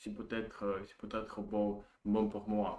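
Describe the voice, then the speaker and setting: A man talks at a very slow pace with a Russian accent. His pitch is fairly low. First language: Russian (speaking French). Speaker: language learner vlogger. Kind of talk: casual monologue practicing a foreign language. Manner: halting, many hesitations and repetitions.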